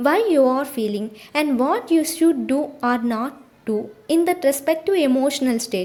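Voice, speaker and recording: Her high-pitched voice carries lively intonation. The woman keeps a moderate pace. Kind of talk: audiobook reading.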